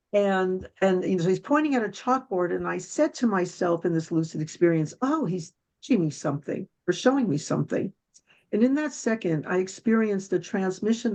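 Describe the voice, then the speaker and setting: With an unremarkable speaking voice at medium pitch, a woman speaks fairly quickly with lively intonation against a quiet background. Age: 60s. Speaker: guest speaker on spirituality and love. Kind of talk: interview testimony.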